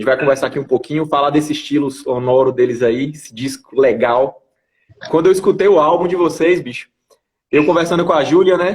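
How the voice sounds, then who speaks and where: This man talks at a fairly quick pace with a northeastern Brazilian accent. His pitch is fairly high, with ordinary pitch variation. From Brazil, Bahia (Bom Jesus da Lapa). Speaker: interview show host. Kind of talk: casual interview livestream.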